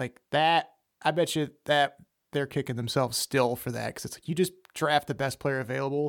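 With an ordinary speaking voice, a man talks at a moderate pace in a fairly high pitch with fairly even intonation and big swings in loudness, on a very clean recording with a silent background and a dry, close sound with no echo. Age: 30s. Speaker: podcast guest discussing sports. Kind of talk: casual chat.

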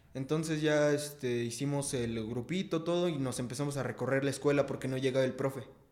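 Fairly quick speech from a man with a Mexico City accent, fairly high in pitch, with fairly even intonation. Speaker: rapper. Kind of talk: casual chat.

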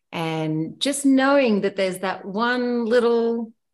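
With an Australian accent, a woman speaks at a very slow pace. Her intonation is lively, and the background is quiet. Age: 40s. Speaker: heli ski guide. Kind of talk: casual chat.

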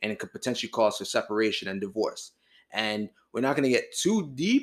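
A man with a normal speaking voice talks at a fairly quick pace on a very clean recording with a silent background. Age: 20s. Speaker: podcast co-host, married partner. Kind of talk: casual chat.

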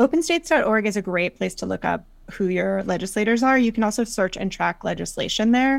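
With an American accent and a plain, everyday voice, a woman speaks at a fairly quick pace and fairly high pitch, her intonation lively, on a very clean recording with a silent background. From US South, North Carolina. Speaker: political nonprofit organizer. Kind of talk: interview.

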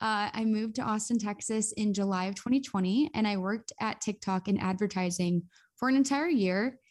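The speaker has a Midwestern American accent and ordinary pitch variation, in a very clean recording with a silent background. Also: woman, fairly high pitch for a woman. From US Midwest (northeast Ohio). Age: 20s. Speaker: content creator and podcaster. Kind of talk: casual interview.

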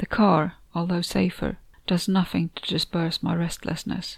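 This is a woman's voice. Vocal fry runs through it. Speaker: author and narrator of the story. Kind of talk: horror short story narration, first-person reading aloud. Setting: home recording, noisy neighbor music in background.

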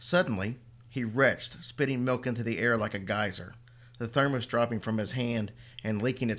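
Someone is doing plain reading aloud. Their intonation holds fairly even.

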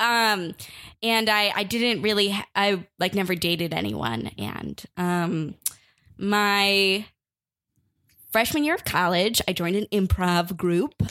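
A woman with an American accent speaks very slowly in a bright, sharp tone, leaving long, frequent pauses, on a very clean recording with a silent background. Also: medium pitch for a woman, ordinary pitch variation. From US Midwest (northern suburb of Chicago). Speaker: comedian. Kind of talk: casual chat.

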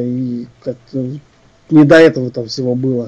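Intonation from the man remains fairly even. His delivery is very slow. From Russia, Ufa (Bashkortostan). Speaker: composer and arranger. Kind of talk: interview. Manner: hesitant, many filler sounds.

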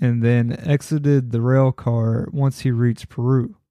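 At a fairly slow pace, a man speaks at a medium pitch with a dark, mellow tone, the sound dry and close with no echo over a quiet background. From Kentucky. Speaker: podcast host. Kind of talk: scripted narration.

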